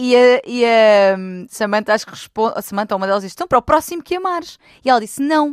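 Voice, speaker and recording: A woman's high-pitched voice at a very fast pace, with lively intonation, a very clean recording with a silent background, and a dry, close sound with no echo. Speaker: relationship expert. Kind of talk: casual chat.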